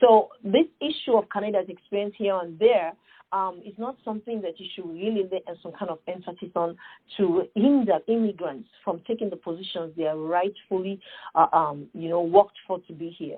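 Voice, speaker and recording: With an African accent, a woman speaks at a moderate pace and medium pitch, showing ordinary pitch variation and big swings in loudness. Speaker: nonprofit founder. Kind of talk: podcast interview. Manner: animated.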